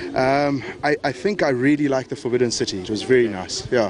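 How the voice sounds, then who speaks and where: Over noticeable background noise, a man with a medium pitch and ordinary pitch variation speaks at a fairly quick pace. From South Africa, Johannesburg. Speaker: sports fan, tourist. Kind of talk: street interview. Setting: outdoors. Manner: hesitant.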